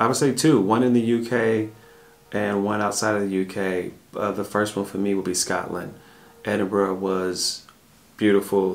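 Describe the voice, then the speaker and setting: Delivered at a moderate pace in a Southern US accent, the speech has fairly even intonation. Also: man, fairly low pitch for a man. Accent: Southern American English. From US South. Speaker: family travel vlogger. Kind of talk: casual Q&A chat. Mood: calm, reflective. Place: home room.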